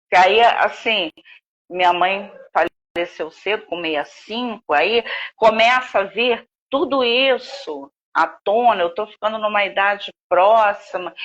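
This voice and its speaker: Speech at a fairly slow pace in an ordinary speaking voice, its pitch varying in an ordinary way. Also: woman, medium pitch for a woman. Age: 60s. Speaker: author. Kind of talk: interview.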